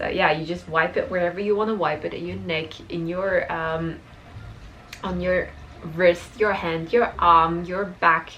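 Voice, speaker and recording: A Dutch accent at a moderate pace, with ordinary pitch variation, audible room echo and noticeable background noise. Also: woman. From Belgium, Dutch-speaking. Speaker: lifestyle vlogger. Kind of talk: casual tutorial vlog. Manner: animated, with frequent fillers.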